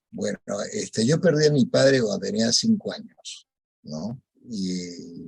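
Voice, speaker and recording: A man with a somewhat breathy voice at a medium pitch, with very wide pitch swings and a fairly slow pace. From Peru. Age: 70s. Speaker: rosary group founder. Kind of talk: radio interview testimony.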